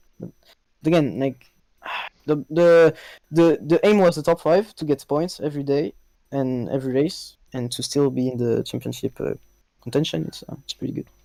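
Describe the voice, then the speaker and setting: A dark, mellow voice with a French accent moves at a moderate pace, with ordinary pitch variation and long, frequent pauses. Loudness swings widely, and the dry, close sound has no echo on a very clean recording with a silent background. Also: man, fairly high pitch for a man. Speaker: esports racing driver. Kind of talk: post-race interview. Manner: halting.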